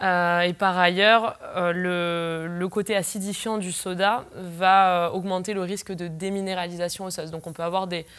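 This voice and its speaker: Her voice sits at a medium pitch, and the woman's intonation is monotone and flat. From southern France (Pyrenees); southern France. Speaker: sports nutritionist. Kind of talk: interview. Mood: calm, explanatory. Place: studio.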